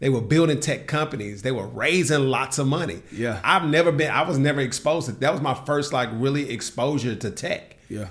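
Somewhat breathy, a man talks at a fairly quick pace with a fairly high pitch and ordinary pitch variation. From US South, Nashville, Tennessee. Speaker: entrepreneur and tech bootcamp co-founder. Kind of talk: casual interview conversation.

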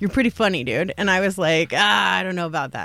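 The speech moves at a fairly quick pace with vocal fry. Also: woman. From Salt Lake City, Utah. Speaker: comedian. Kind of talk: casual chat. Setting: studio.

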